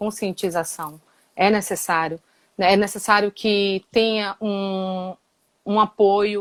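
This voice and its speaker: A woman speaks at a very slow pace, her pitch medium. The sound is dry and close, with no echo. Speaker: guest discussing violence against women. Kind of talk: casual interview discussion. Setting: Instagram live stream.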